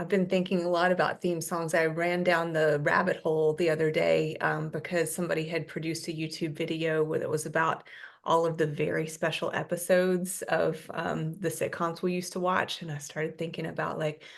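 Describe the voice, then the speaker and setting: A woman with a fairly low pitch and vocal fry talks with hardly any pauses in a monotone, flat intonation over a quiet background. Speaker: podcast host. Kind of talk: casual interview talk.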